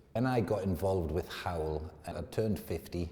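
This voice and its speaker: Background noise is clearly present. Over it, a man talks. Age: 50s. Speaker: client testimonial, company director. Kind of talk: testimony. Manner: casual, slightly halting.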